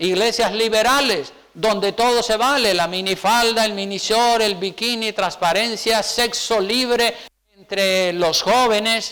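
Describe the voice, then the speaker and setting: In a Canarian accent, a man with a high pitch uses a raised, projected voice at a fairly slow pace, keeping very even loudness and fairly even intonation amid audible room echo. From Canary Islands, Spain. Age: 60s. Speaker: pastor. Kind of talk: sermon.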